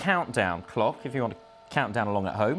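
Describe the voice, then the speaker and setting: With music playing behind him, a man talks at a fairly quick pace, his pitch swinging very widely. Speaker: news presenter and reporter. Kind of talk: explanatory news report, health feature.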